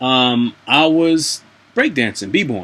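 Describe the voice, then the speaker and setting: At a very slow pace, a man talks in a medium pitch. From US South, North Carolina. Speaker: vlogger, English teaching assistant in Japan. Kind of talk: casual vlog monologue. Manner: hesitant, many fillers.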